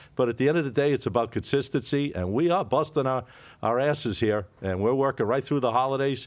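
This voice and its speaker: A man's medium pitch at a fairly quick pace, with very even loudness and ordinary pitch variation, against a quiet background. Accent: Boston. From Boston area. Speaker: sports betting podcast host. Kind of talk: casual chat.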